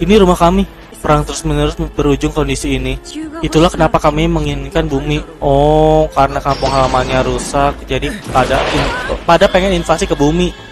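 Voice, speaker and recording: Clear music plays in the background as a man speaks at a fairly quick pace in a dry sound with no echo. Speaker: reaction video host. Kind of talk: casual reaction commentary. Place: home room. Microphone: headset.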